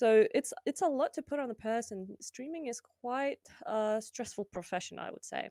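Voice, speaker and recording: On a very clean recording with a silent background and a dry, close sound with no echo, a woman with a high pitch and a dark, mellow tone speaks at a moderate pace, her intonation lively and her loudness swinging widely. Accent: Lithuanian. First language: Lithuanian. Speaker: streamer. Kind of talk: casual interview chat.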